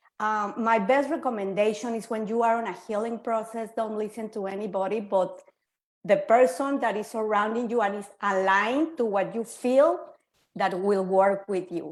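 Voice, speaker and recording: In a Spanish accent, a woman speaks at a moderate pace. Her pitch is fairly high, with ordinary variation. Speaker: quantum healer. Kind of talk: panel discussion.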